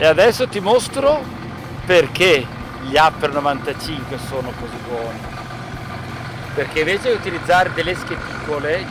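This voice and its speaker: A man talks at a fairly slow pace. The sound is dry with no echo, though noticeable background noise is present. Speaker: presenter. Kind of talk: tutorial. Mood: enthusiastic. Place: boat. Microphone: phone near.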